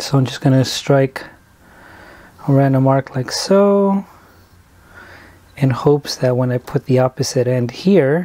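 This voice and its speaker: The speech moves at a fairly slow pace with long, frequent pauses, and noticeable background noise runs underneath. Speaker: sheet metal tradesman. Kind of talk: tutorial. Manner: casual, step-by-step instruction.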